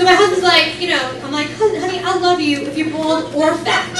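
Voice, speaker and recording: A woman's raised, projected voice with ordinary pitch variation over noticeable background noise. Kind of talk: stand-up comedy set to a live club audience. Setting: comedy club with audience laughter. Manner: fast, sarcastic, crowd-interactive.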